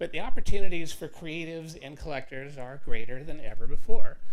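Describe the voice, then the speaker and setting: Noticeable background noise sits under a man speaking at a fairly quick pace. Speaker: artist and bitcoin advocate giving a talk. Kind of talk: presentation to a live meetup audience. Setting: stage with audience. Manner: loud; casual, conversational.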